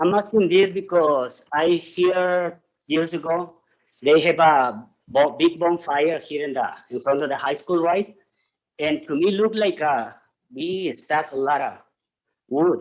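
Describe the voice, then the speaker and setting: Speaking with a non-native accent, a man uses a high pitch and ordinary pitch variation. His pace is fairly slow, with long, frequent pauses. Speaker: public commenter at city council. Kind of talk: public comment. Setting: city council meeting.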